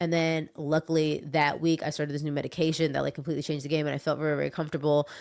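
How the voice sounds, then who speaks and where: A woman speaks very fast in a very deep, low voice with flat, monotone intonation. The recording is very clean, with a silent background. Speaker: YouTuber and photographer. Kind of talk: casual vlog monologue. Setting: at home. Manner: casual, filler-heavy.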